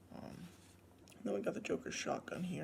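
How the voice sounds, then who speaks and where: Soft-spoken, a man talks with vocal fry. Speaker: toy collector reviewer. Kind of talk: product review unboxing. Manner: soft-spoken, quiet; casual, hesitant with fillers.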